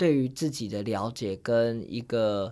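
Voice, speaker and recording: Every word comes at a very slow pace. Behind it the background is silent, and the recording is very clean. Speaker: author and Tourette syndrome advocate. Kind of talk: interview.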